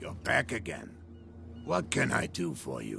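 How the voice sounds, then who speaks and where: A raspy, put-on character voice from a man, fairly slow, over clear background noise. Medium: video game. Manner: calm, measured.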